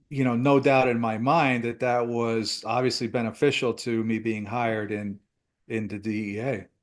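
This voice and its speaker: An American man speaks with an unremarkable speaking voice at a medium pitch and a moderate pace. His intonation is fairly even, and the background is quiet. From US Northeast. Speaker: retired DEA agent. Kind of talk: interview.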